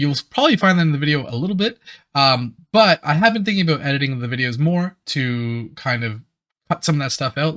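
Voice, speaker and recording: Over a very clean recording with a silent background, a man talks at a very fast pace. His tone is bright and sharp, and his intonation is lively. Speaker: YouTube reactor. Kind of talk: casual reaction commentary. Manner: stammers at times.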